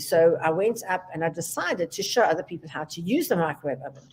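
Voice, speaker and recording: Against noticeable background noise, a woman with a fairly low pitch talks very fast in lively intonation. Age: 70s. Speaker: business executive. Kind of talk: interview. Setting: talk show.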